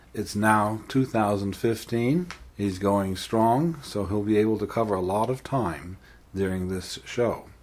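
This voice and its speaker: Here a man with an ordinary speaking voice talks fairly slowly at a fairly low pitch, with ordinary pitch variation. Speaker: podcast host. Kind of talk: podcast interview questions.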